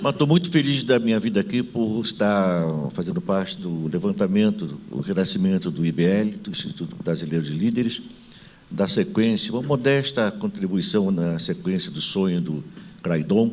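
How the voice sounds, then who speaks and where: At a moderate pace, a man with a medium-pitched voice speaks with very wide pitch swings. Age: 70s. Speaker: management consultant and author. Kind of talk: panel talk with anecdote. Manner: animated, humorous storytelling.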